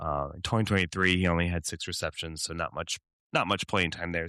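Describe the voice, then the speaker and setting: This man's very deep, low voice has a bright, sharp tone. The recording is very clean, with a silent background. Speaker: fantasy football podcast host. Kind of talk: casual podcast chat.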